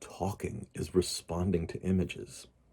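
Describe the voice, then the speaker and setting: Very deep and low, this man's voice has a dark, mellow tone. He sounds somewhat breathy and speaks with an American accent. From US, Pittsburgh. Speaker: tarot reader. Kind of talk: informal teaching talk. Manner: hesitant, many fillers.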